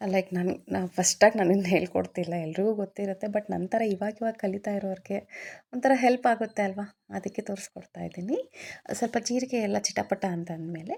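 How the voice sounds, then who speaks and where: A woman with a Telugu accent speaks at a medium pitch, her tone dark and mellow. Her intonation stays fairly even, and the recording is very clean with a silent background. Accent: Telugu-accented Kannada. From Andhra Pradesh, India. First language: Telugu (speaking Kannada). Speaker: cooking vlogger. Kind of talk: cooking tutorial.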